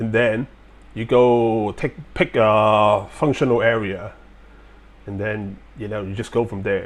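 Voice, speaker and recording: The speech comes at a fairly slow pace with long, frequent pauses and big swings in loudness, in a slight Chinese accent with fairly even intonation. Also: man, fairly low pitch for a man. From Hong Kong and China. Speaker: military veteran. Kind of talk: live-stream Q&A talk. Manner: halting, many fillers.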